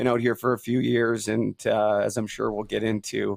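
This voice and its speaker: This man has a Canadian accent. He talks at a moderate pace. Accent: Canadian, by own remark. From western Canada, near Vancouver. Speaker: former pro hockey player, podcast host. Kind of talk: testimony.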